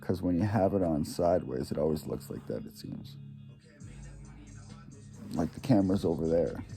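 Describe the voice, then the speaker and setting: Music plays in the background as a man with a very deep, low pitch talks at a moderate pace, with lively intonation, big swings in loudness and long, frequent pauses. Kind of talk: casual talk to camera. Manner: rambling, halting.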